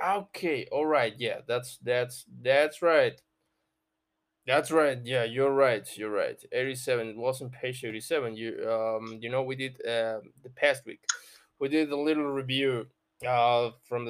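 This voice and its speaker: A man at medium pitch, fairly slow pace and fairly even intonation. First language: Spanish. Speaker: podcast host running an English reading club. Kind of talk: casual chat.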